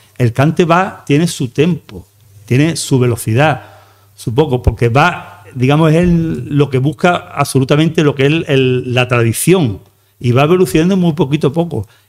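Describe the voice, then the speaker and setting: A man speaks with a normal speaking voice at a moderate pace, his pitch fairly high with ordinary variation, over a quiet background. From Andalusia, Algeciras area; Andalusia, Spain. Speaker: flamenco researcher and math teacher; math teacher. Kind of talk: lecture. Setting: stage with audience. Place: hall. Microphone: podium.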